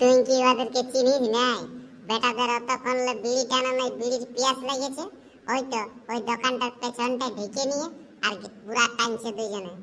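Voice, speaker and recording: A woman uses a cartoonish character voice, high-pitched with fairly even intonation, at a moderate pace. Clear background noise can be heard. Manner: teasing, laughs often.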